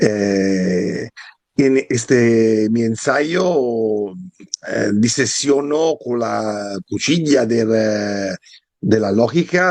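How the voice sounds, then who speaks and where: A man speaks with an Italian accent at a very slow pace. His medium pitch carries lively intonation. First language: Italian (speaking Spanish). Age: 50s. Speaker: historian and philosophy author. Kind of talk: interview. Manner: halting, many hesitations.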